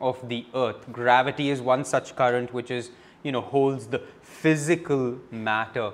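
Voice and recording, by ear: Someone is reading aloud in a natural voice whose intonation stays fairly even.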